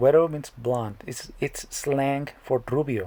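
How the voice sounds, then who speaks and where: Speaking at a very slow pace, a man with a dark, mellow tone keeps a medium pitch and ordinary pitch variation. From Mexico, northern border. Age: 30s. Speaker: comedic YouTuber. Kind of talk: comedic explainer monologue.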